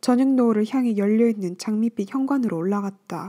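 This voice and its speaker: A woman's fairly high voice with a dark, mellow tone, ordinary pitch variation and moderate pace, dry and close with no echo, on a very clean recording with a silent background. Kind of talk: audiobook reading of a novel. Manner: soothing.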